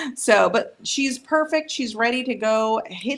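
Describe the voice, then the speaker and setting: The woman's tone is animated as she talks. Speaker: nail technician and cosmetologist. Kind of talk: live stream nail demonstration. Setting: live stream. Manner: fast.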